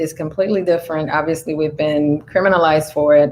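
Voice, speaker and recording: A woman speaks with a Spanish accent in a very deep, low voice. Her intonation stays fairly even. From Dominican Republic. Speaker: Navy veteran and cannabis entrepreneur. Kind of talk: interview. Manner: hesitant, many fillers.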